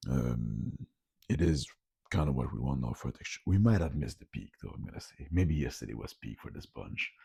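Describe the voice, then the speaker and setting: This man talks fairly quickly, his voice very deep and low with a dark, mellow tone. His intonation is lively, and vocal fry creeps in. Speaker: food vlogger. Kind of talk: casual video vlog. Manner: casual, hesitant with fillers.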